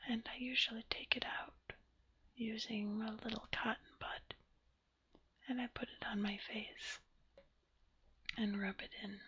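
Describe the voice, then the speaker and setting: Long pauses come often as the speech proceeds fairly slowly. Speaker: ASMR creator. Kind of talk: ASMR rambling talk. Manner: whispered, soft-spoken.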